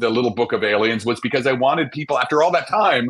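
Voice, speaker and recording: A man speaks very fast with an American accent. His voice has vocal fry. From New Jersey, New York City area. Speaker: astrophysicist. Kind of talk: interview. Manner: animated.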